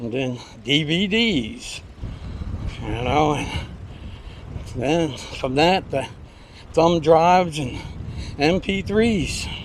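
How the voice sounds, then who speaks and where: Amid audible room echo, a man with a fairly high pitch and lively intonation speaks at a very slow pace with long, frequent pauses. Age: 70s. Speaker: vlogger riding exercise trike. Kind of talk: casual monologue while riding.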